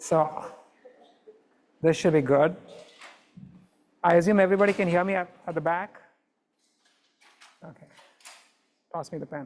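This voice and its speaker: A woman speaks loudly in a fairly low pitch at a moderate pace. Her intonation is fairly even, and she takes long, frequent pauses. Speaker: professor. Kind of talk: lecture. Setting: classroom.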